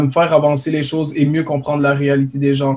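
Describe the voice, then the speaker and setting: A man's fairly high-pitched, monotone, flat delivery at a moderate pace. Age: young. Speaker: college student, spokesperson. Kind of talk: panel discussion.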